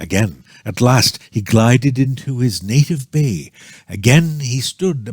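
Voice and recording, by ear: Pitch variation here is ordinary. Someone is reading aloud in a natural voice.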